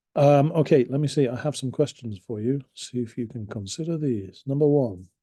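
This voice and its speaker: A man with a British accent speaks at a moderate pace in a dark, mellow tone. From England. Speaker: English teacher. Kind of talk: lesson. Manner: casual, with fillers and hesitations.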